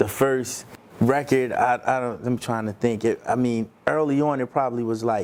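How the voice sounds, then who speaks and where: Speaking at a moderate pace, a man uses an ordinary speaking voice with medium pitch and fairly even intonation. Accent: American. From Baltimore, Maryland. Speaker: music industry manager. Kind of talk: interview. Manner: casual.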